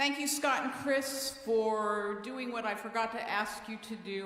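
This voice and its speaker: The speaker is a woman with a fairly high voice. She talks at a fairly slow pace. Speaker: congregation council leader chairing a meeting. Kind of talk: meeting chairing. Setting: church. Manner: loud.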